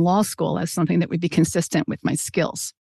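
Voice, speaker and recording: A woman with an American accent and a fairly low pitch speaks in a normal speaking voice, recorded with a dry, close sound with no echo against a quiet background. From Brooklyn, New York, US. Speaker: law firm pro bono director. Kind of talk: interview.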